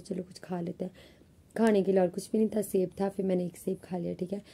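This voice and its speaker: A woman with a medium pitch speaks at a very fast pace, her tone dark, mellow and somewhat breathy. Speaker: vlogger, college student. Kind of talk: casual vlog talk. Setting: alone in her room. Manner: chatty, conversational.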